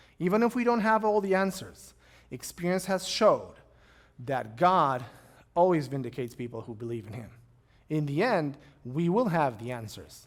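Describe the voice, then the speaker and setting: A man speaks with a Romanian accent at a fairly high pitch. His pitch swings very widely. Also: moderate pace. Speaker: pastor. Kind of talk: lecture; Q&A answers.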